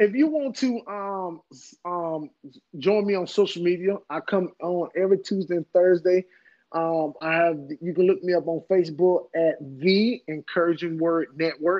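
A man's voice, high in pitch, its rises and falls typical. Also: moderate pace. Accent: North Carolina. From US South, Henderson, North Carolina. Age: 40s. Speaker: preacher. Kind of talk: casual interview.

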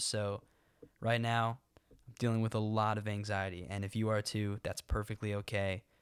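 A fairly low-pitched man talks at a fairly quick clip in a monotone, flat intonation. The recording is very clean, with a silent background. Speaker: student podcast host. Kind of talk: casual podcast intro and interview. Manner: nervous, anxious-sounding.

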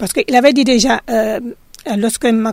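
On a very clean recording with a silent background, a woman with a fairly high pitch speaks at a moderate pace. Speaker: local resident. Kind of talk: radio testimony.

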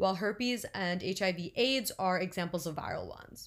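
Someone with a plain, everyday voice speaks at a fairly quick pace with lively intonation. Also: woman. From New Jersey. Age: 20s. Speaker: podcast co-host, pre-med student. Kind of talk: informational talk; casual chat.

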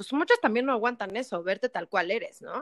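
The voice has an energetic tone and very wide pitch swings, recorded with a dry, close sound and no echo. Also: woman. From Mexico. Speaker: actress and TV presenter. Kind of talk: casual chat.

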